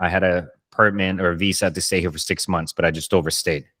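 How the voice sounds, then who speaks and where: A man with a Spanish accent and fairly even intonation, in a very clean recording with a silent background. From Colombia. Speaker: podcast host, chef. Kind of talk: casual interview chat.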